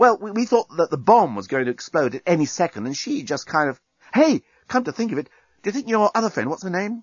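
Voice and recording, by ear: A man puts on a character voice, high-pitched with a slightly husky edge and big pitch swings. He talks at a fairly quick pace with few pauses, in a dry, close sound with no echo.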